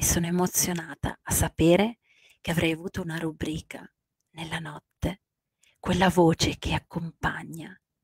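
A woman with a fairly low pitch and a somewhat breathy voice speaks in a monotone, flat way at a moderate pace, with long, frequent pauses, a quiet background and dry sound with no echo. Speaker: life coach. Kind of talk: late-night radio-style coaching talk. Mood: warm, soft, emotional. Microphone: handheld.

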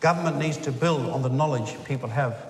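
A man's fairly quick, lively voice, with audible room echo and light background noise. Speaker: speaker. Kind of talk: formal speech. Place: hall. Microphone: podium.

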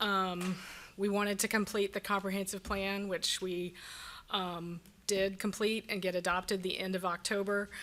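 On a very clean recording with a silent background, a woman speaks at a medium pitch and moderate pace, her tone bright and sharp and her intonation monotone and flat. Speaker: county planning director. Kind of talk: public meeting presentation.

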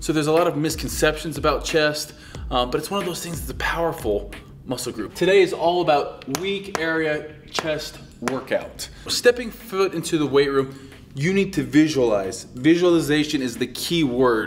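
A man talks at a moderate pace with lively intonation. Music plays in the background. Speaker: fitness coach. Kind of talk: tutorial. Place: classroom.

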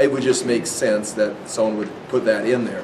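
A man talks at a moderate pace with ordinary pitch variation while noticeable background noise carries on. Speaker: Bible teacher. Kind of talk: lecture. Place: classroom. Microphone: lapel.

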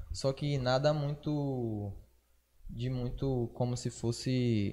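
The man's tone is dark and mellow, and his intonation stays fairly even. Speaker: podcast host and rap artist; podcast guest or co-host. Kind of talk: casual chat. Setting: live stream. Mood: relaxed, informal slang talk. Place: studio. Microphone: studio mic.

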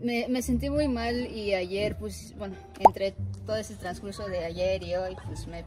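Music is clearly audible in the background. Over it, a woman talks at a fairly slow pace. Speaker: guest. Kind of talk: prank phone call, acted emotional story. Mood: feigned sadness, suppressed laughter. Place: car. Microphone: phone near.

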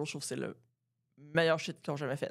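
A woman's very deep, low, monotone voice against a quiet background. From Quebec. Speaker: comedian and podcast co-host; podcast co-host, comedian. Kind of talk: casual chat. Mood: relaxed, joking. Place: studio. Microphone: studio mic.

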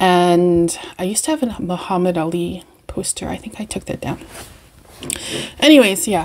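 A woman's relaxed voice in a Canadian accent, at a moderate pace, with light background noise. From Canada, Winnipeg. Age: 40s. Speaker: beauty and perfume vlogger. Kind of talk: casual chat. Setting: home video recording. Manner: relaxed, rambling with fillers. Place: home room. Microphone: webcam.

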